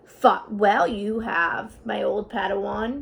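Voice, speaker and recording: Using a put-on character voice, a woman speaks at a fairly slow pace with a medium pitch. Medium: read story. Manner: inverted word order, calm.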